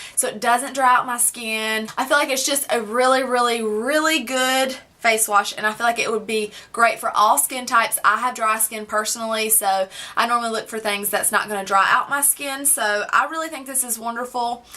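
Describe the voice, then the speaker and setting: A woman's fairly high-pitched voice with ordinary pitch variation and noticeable background noise. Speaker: beauty vlogger. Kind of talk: product review vlog. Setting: home, filmed at a table. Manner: fast; loud.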